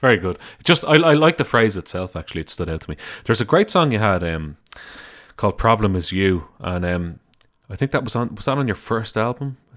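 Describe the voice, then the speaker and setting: A man with an Irish accent talks at a fairly quick pace in a fairly low pitch, his pitch swinging very widely. His loudness varies a lot, and the recording is very clean with a silent background. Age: 30s. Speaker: podcast host. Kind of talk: interview.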